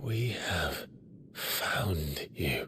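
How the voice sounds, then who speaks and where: A raspy put-on character voice from a man, fairly low in pitch, with clear background noise. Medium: cartoon. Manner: grave, brooding.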